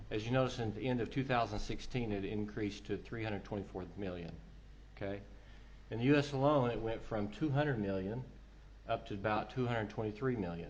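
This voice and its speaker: Somewhat breathy, a man with an American accent speaks at a fairly low pitch, with audible room echo. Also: ordinary pitch variation. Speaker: telecom consultant, conference speaker. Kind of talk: conference presentation.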